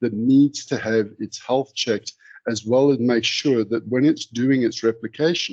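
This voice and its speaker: A man with an unremarkable speaking voice talks at a moderate pace with ordinary pitch variation, the sound dry and close with no echo. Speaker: software vendor presenter. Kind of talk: webinar product demo.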